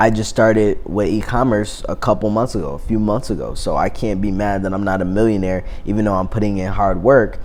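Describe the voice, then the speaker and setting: The man's fairly low voice moves at a fairly quick pace with hardly any pauses. His intonation stays fairly even, and there is audible room echo. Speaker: YouTuber. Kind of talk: vlog monologue. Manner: casual, many fillers.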